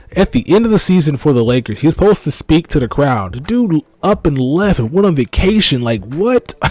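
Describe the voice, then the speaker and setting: A man with an American accent, lively intonation and a fairly quick pace, over noticeable background noise. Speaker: gaming YouTuber. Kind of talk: casual vlog commentary.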